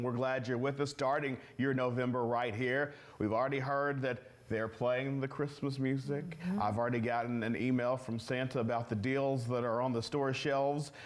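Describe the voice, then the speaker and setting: A man with an ordinary speaking voice talks at a moderate pace and medium pitch, with fairly even intonation. His loudness stays very even, with hardly any pauses. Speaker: TV news co-anchor. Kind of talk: TV news anchoring.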